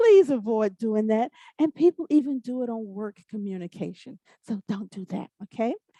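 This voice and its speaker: A woman's somewhat breathy voice, dark and mellow in tone, with a fairly high pitch, lively intonation, big swings in loudness and a moderate pace, in a dry, close sound with no echo. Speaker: corporate trainer. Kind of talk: online training presentation.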